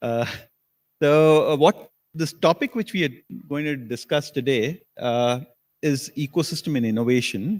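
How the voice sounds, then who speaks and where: Here a man talks at a moderate pace. His pitch is fairly high and his intonation lively. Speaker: panel moderator, technology strategy executive. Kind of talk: panel discussion moderation.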